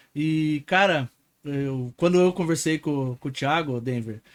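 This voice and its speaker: A man uses a normal speaking voice at a fairly slow pace with ordinary pitch variation, captured as a dry, close sound with no echo on a very clean recording with a silent background. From interior of Paraná, Brazil. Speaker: podcast host and entrepreneur. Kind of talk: casual podcast chat.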